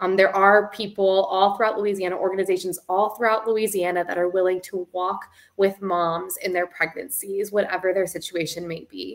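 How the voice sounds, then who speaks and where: A woman at a fairly quick pace over a quiet background. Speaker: host of advocacy livestream. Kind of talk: livestream host introduction. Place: home room.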